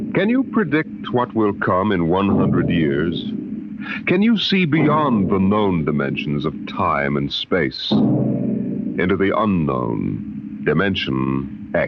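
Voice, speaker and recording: Against noticeable background noise, a man speaks at a very slow pace with very even loudness. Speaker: radio announcer. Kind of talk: vintage radio show announcement.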